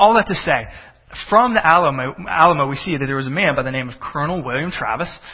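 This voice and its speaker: A fairly high-pitched man's voice in a Texan accent at a very fast pace, over noticeable background noise. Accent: Texan American English. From Texas. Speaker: pastor. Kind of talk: sermon. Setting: church with congregation.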